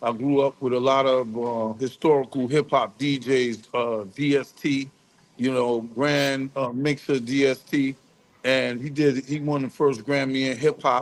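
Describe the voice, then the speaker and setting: Fairly slow, monotone, flat speech in a New York accent. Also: man, medium pitch for a man. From New York, the Bronx. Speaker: music industry executive. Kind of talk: interview.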